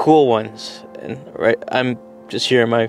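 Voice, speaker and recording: A man talks at a fairly slow pace with ordinary pitch variation. The sound is dry with no echo, and faint music plays in the background. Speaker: travel vlogger. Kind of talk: casual vlog chat. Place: car. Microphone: phone near.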